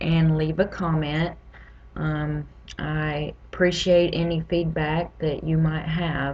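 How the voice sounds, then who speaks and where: A woman talks with a Southern US accent. Her pace is very slow. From US South (Louisiana, Mississippi, Tennessee). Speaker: patient advocate. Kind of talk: personal vlog testimony.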